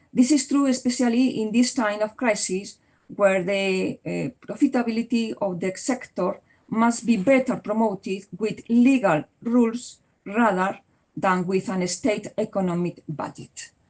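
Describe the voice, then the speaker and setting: A woman with a Spanish accent speaks at a fairly slow pace, her fairly high voice somewhat breathy. Her pitch varies in an ordinary way. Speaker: law professor. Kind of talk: Q&A discussion; conference presentation. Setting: conference. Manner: halting.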